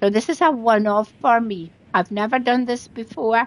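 In a Scottish accent, a woman speaks at a fairly slow pace with a high pitch, the sound dry and close with no echo. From Scotland. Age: 70s. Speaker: gaming streamer. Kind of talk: live game streaming chat. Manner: chatty.

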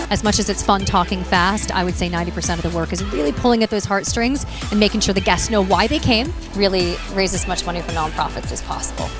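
Speech comes at a very fast pace with a dry sound and no echo. Clear music plays in the background. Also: woman. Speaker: benefit auctioneer; fundraising consultant. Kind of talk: casual talk to camera promoting her services. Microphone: handheld.

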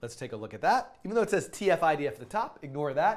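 The intonation of this man's speech is lively. Behind him, the background stays quiet. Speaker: coding teacher. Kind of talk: tutorial.

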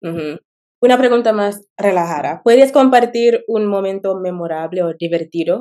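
A woman's dark, mellow voice with ordinary pitch variation at a moderate pace, against a quiet background. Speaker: YouTuber learning Spanish. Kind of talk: interview. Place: home room. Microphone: video call.

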